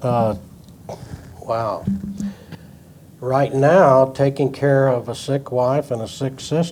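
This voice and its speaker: Over noticeable background noise, a man of medium pitch talks at a very slow pace with long, frequent pauses and fairly even intonation. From New Mexico (Fort Sumner, east central). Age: 80s+. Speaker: retired company co-founder and former CEO. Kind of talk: interview.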